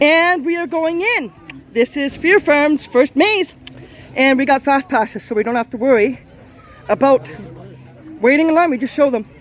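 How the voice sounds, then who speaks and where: With an extremely high pitch, a man talks in an animated tone and lively intonation, leaving long, frequent pauses amid noticeable background noise. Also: moderate pace. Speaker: vlogger. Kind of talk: walkthrough vlog commentary. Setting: outdoors and inside haunted attraction.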